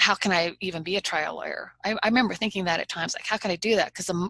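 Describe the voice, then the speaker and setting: A woman's fairly low-pitched voice has a bright, sharp tone, vocal fry and ordinary pitch variation, captured in a dry, close sound with no echo. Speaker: trial lawyer. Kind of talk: interview. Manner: not booming, persuasive rather than loud.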